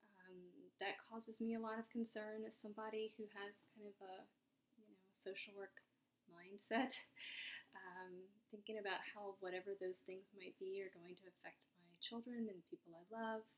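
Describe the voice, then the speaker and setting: Delivery comes at a moderate pace with fairly even intonation. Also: woman. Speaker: vlogger. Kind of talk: casual vlog chat. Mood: anxious, reflective, subdued. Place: home room. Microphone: webcam.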